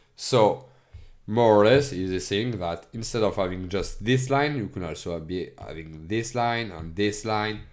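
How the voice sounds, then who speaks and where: A man with a non-native accent speaks at a fairly low pitch. His delivery is fairly slow, with audible room echo. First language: not English. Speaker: educational streamer. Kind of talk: tutorial. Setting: screen recording. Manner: halting.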